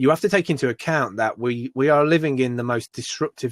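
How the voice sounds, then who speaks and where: In a British accent, a man talks at a fairly quick pace with a dry, close sound with no echo. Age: 40s. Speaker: entrepreneur and maker. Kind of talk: podcast interview. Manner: animated, with many restarts and fillers.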